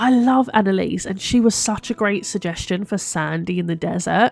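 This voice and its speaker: Music plays behind a woman speaking with a British accent at a moderate pace. Her pitch is medium, with ordinary variation. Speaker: gaming YouTuber. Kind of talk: gameplay commentary.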